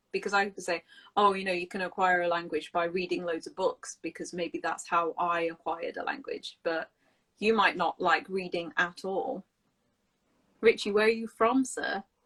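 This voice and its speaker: In a British accent, a woman at medium pitch speaks at a moderate pace with lively intonation, the sound dry and close with no echo. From England. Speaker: English teacher hosting a live stream. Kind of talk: live stream casual chat.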